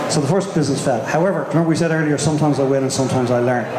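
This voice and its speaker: A man talks at a very fast pace with ordinary pitch variation. Loud background noise and audible room echo surround him. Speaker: speaker. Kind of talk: presentation talk. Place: hall. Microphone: handheld.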